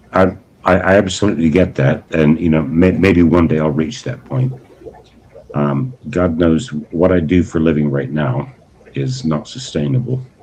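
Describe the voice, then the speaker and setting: A man's very deep, low voice at a moderate pace, lively in intonation, over noticeable background noise. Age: 60s. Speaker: aquarium hobbyist livestreamer. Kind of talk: casual livestream chat. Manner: halting, many repeated words; polite.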